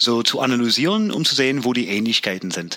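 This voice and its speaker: The voice has a bright, sharp tone in an English accent. Its pitch varies in an ordinary way. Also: man. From US, Pennsylvania (near York). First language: English (speaking German). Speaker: Air Force veteran. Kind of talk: casual interview.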